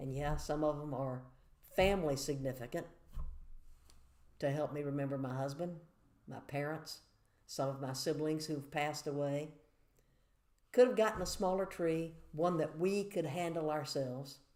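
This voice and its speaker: With a Southern US accent, a woman talks in a very deep, low pitch and a dark, mellow tone at a moderate pace, with ordinary pitch variation, long, frequent pauses and audible room echo. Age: 60s. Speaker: church devotional speaker. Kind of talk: devotional talk to camera. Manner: conversational, measured.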